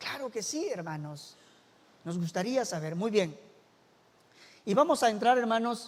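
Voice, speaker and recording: A man's high-pitched voice with lively intonation. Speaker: church minister. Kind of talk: bible study lesson.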